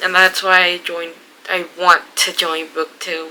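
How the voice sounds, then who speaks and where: Against noticeable background noise, a woman speaks with a Spanish accent. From Mexico. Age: 20s. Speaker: book vlogger. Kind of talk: casual vlog. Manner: halting, many fillers.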